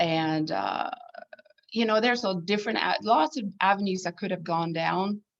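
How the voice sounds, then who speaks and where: A woman speaks with a Swedish accent. Her pitch varies in an ordinary way. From southern Sweden. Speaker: needlepoint designer and artist. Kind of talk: casual interview chat.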